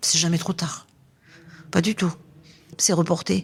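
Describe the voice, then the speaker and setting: Her voice is somewhat breathy, a woman's voice with a fairly low pitch. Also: very clean recording, silent background. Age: 60s. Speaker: interviewee at a seniors' fair. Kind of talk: podcast interview. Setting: temporary studio at a seniors' fair. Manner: hesitant, many fillers.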